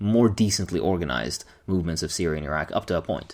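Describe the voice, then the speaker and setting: A man's voice with lively intonation. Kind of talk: book review talk to camera. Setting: echoey empty room.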